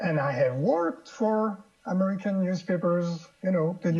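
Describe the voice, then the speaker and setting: Over noticeable background noise, a man with a French accent talks at a moderate pace in a high voice. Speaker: political cartoonist. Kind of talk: interview. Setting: studio. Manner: halting.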